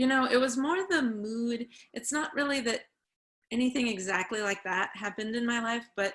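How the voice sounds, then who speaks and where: Long, frequent pauses break up speech with an American accent and ordinary pitch variation. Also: woman. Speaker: author and community college teacher. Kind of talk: online book group discussion.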